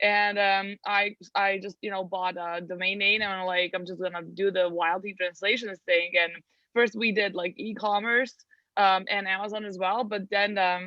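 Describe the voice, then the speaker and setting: A woman with a Serbian accent, medium pitch, a moderate pace and monotone, flat intonation. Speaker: translation agency owner. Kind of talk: interview.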